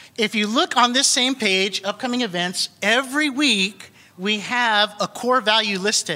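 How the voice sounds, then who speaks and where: Raised and projected, a man's high-pitched voice moves at a fairly slow pace. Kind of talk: church announcement. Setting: church.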